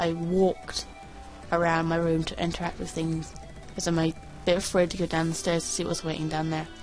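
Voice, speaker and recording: Music plays in the background. A woman speaks over it at a fairly low pitch. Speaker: creepypasta reader. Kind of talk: reading aloud. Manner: fast; halting.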